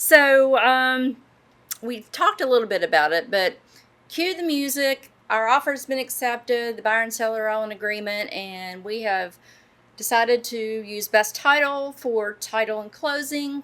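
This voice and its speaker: With a West Virginia accent, a woman talks at a moderate pace in a fairly high, bright, sharp voice, with ordinary pitch variation and big swings in loudness. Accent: noticeable West Virginia. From southern West Virginia (Bluefield). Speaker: podcast co-host, real estate professional. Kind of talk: podcast interview.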